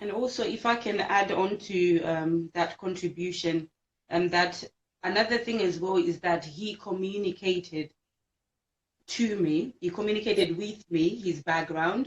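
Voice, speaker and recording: Her pace is fairly slow, and her pitch sits at a medium level for a woman. She uses ordinary pitch variation. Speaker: marriage ministry leader. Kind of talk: casual chat. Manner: loud.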